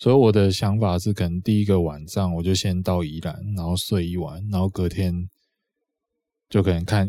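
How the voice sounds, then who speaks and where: A man with a very deep, low pitch and a dark, mellow tone speaks with fairly even intonation on a very clean recording with a silent background. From Taiwan, Changhua. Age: late 20s. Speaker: podcast co-host. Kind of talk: casual chat.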